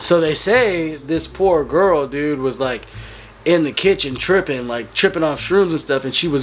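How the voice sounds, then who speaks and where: Noticeable background noise surrounds a man speaking at a fairly slow pace. His pitch variation is ordinary. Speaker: podcast guest. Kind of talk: casual chat.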